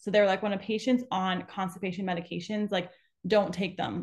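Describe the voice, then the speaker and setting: Somewhat breathy, a woman speaks at medium pitch with fairly even intonation. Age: 20s. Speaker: podcast host and pelvic floor physical therapist. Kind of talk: casual interview chat.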